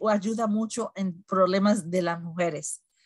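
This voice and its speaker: Against a quiet background, a somewhat breathy woman talks at a fairly slow pace with fairly even intonation, the sound dry with no echo. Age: 60s. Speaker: wellness product presenter and moderator; presenter, moderator. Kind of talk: instructional talk on a weekly online meeting. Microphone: video call.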